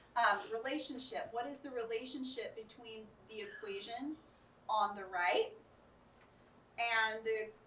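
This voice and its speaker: Speaking slowly with an American accent, a woman uses a fairly high, bright, sharp voice with ordinary pitch variation and long, frequent pauses. Her loudness swings widely, and audible room echo surrounds her. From Arkansas, US South. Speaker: educator, conference speaker. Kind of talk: workshop lecture with audience discussion. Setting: conference room with live audience.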